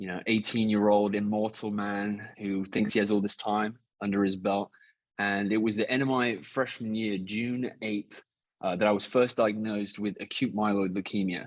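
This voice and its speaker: A man with an English accent, fairly low pitch and monotone, flat intonation, at a moderate pace against a quiet background. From England. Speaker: cancer survivor. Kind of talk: podcast interview.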